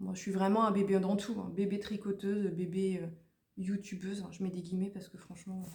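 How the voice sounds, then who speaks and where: A woman at medium pitch, fairly quick and monotone with flat intonation, with audible room echo. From Haute-Normandie, France. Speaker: knitting vlogger. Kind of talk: casual vlog monologue. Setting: at home, at a table. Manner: loud; fast.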